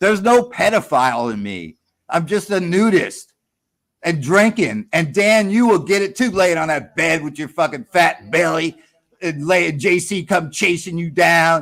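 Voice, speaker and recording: At a fairly slow pace, a man talks in a high voice with lively intonation. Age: 60s. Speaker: caller on a livestream panel. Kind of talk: heated debate. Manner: animated.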